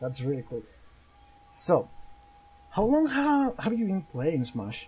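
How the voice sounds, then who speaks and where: A man's high-pitched voice at a very slow pace, with very wide pitch swings over noticeable background noise. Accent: non-native. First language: Spanish. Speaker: YouTuber interviewer. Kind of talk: interview. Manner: halting.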